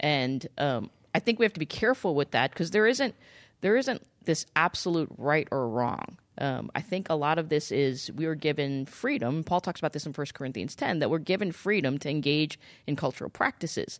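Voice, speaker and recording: Against a quiet background, a woman talks at a fairly quick pace in a very deep, low pitch. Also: lively intonation. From US, child of Indian immigrants. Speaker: pastor. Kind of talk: casual chat. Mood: thoughtful, warm. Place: studio. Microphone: studio mic.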